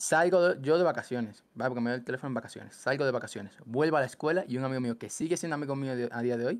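Speech moves at a very fast pace with ordinary pitch variation. The background is quiet and the sound is dry with no echo. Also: man. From Cuba, then Ecuador from age 10. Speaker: gaming content creator. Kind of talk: casual chat. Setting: call. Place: home room. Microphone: headset.

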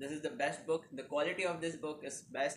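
With light background noise behind him, a man speaks with fairly even intonation. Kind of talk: casual advice vlog. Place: home room. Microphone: phone near.

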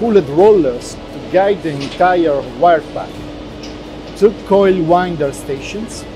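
With clear music in the background, a man with a high pitch speaks at a fairly slow pace and ordinary pitch variation. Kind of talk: corporate presentation. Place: factory. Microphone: lapel.

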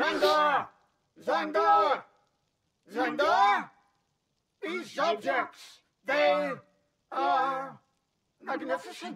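A man's put-on character voice, extremely high-pitched, at a very slow pace with long, frequent pauses. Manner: menacing, then pleased and gracious.

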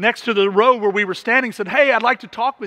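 Against a quiet background, a man with a high pitch speaks in a raised, projected voice with a bright, sharp tone and ordinary pitch variation. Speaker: pastor. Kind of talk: sermon. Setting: church. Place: church.

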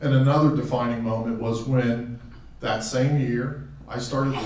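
A man speaks at a moderate pace with fairly even intonation, with audible room echo and light background noise. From Western Pennsylvania, raised in Tucson from teens; Western Pennsylvania. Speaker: hall of fame inductee, former athlete. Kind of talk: acceptance speech; acceptance speech with anecdotes. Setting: auditorium podium with audience. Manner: halting, with frequent fillers and repeats. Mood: warm, reflective, humorous. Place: hall.

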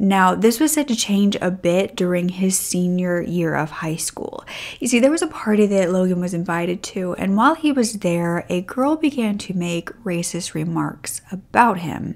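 The speaker uses lively intonation at a moderate pace with hardly any pauses. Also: woman. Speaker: true crime narrator. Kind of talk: storytelling commentary. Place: home room. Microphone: studio mic.

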